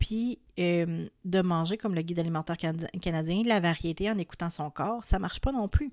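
Speech in a Quebec accent moves at a moderate pace with ordinary pitch variation, in a dry, close sound with no echo on a very clean recording with a silent background. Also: woman. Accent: Québécois French. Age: 30s. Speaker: wellness podcast host. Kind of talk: solo podcast monologue. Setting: home recording at microphone.

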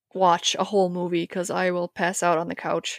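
Dry, close sound with no echo from a woman at a medium pitch and moderate pace. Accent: slight Upper Midwest. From Wisconsin, near the Twin Cities. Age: 30s. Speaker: HVAC maintenance technician. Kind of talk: casual interview chat. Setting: remote podcast call.

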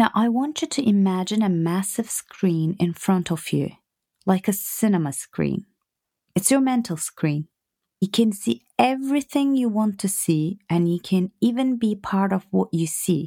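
With an unremarkable speaking voice, a woman talks at a medium pitch and a fairly slow pace. Her intonation is lively, and the recording is very clean with a silent background. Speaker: podcast host and business coach. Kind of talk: guided meditation, visualisation exercise. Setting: home recording, relaxed. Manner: slow, soft, calm, soothing, with gentle pauses; warm, affectionate, intimate.

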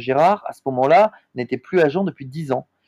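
Backed by music, a man speaks with lively intonation in a dry, close sound with no echo. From southern France, Montpellier. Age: 20s. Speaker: sports agent. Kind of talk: interview. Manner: hesitant, frequent fillers and repetitions.

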